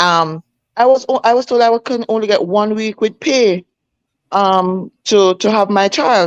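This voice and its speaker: A speaker with a Jamaican accent shows ordinary pitch variation in a dry, close sound with no echo. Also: woman. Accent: Jamaican, with patois features. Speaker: schoolteacher. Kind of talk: casual chat. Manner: animated.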